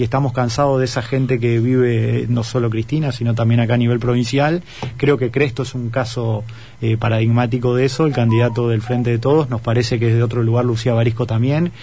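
A man's medium-pitched, flat monotone at a fairly quick pace, amid noticeable background noise. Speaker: political candidate. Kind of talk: radio interview.

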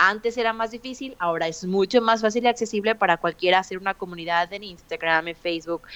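A woman talking at a very fast pace with hardly any pauses, ordinary pitch variation, and a dry, close sound with no echo against a quiet background. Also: medium pitch for a woman. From Mexico. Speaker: podcaster and mother. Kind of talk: interview conversation.

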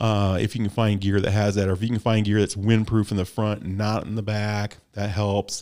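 On a very clean recording with a silent background, a man speaks with a Midwestern American accent in a fairly low pitch and dark, mellow tone. His fairly quick delivery has monotone, flat intonation and hardly any pauses. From US Midwest. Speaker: gravel cycling podcast host. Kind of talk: casual chat.

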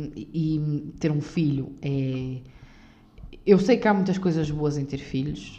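In a European Portuguese accent, the speaker talks at a very slow pace with lively intonation and a dark, mellow tone, amid audible room echo. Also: woman. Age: 20s. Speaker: podcaster. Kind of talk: unscripted solo monologue. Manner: halting, many fillers.

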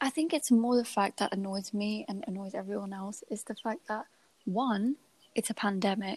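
In a dry, close recording with no echo, a woman speaks at a moderate pace in a fairly high, somewhat breathy voice with ordinary pitch variation. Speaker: podcast host. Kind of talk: casual chat. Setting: at home late at night.

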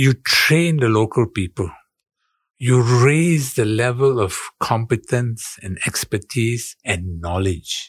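At a very slow pace, a man speaks in a somewhat breathy, medium-pitched voice with lively intonation. The recording is very clean and silent in the background, with a dry, close sound and no echo. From Singapore. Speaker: insurance broker. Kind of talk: interview.

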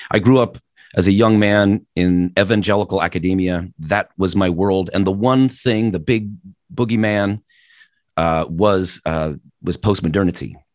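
In a normal speaking voice, a man with fairly low pitch talks at a moderate pace with ordinary pitch variation against a quiet background. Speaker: professor and podcaster. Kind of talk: keynote address to students. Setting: virtual conference call.

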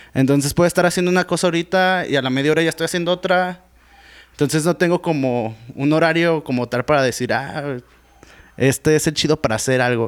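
A man's fairly high-pitched voice, a normal speaking voice, with ordinary pitch variation and a fairly quick pace. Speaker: rapper and beatmaker. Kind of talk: casual chat.

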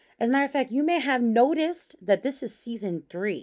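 An animated woman with an American accent talks fairly quickly in a high pitch with very wide pitch swings, recorded very cleanly against a silent background. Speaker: pastor and podcast host. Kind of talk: casual monologue podcast. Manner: loud; animated, laughing often.

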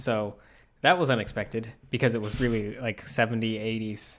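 A man with an American accent talks at a fairly quick pace in a plain, everyday voice, his medium pitch carried by fairly even intonation. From Utah. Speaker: podcast co-host. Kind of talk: casual chat.

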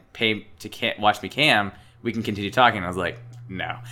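Here a man has an ordinary speaking voice at a fairly low pitch. He talks at a fairly quick pace. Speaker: podcast co-host. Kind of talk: casual banter. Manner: casual, joking.

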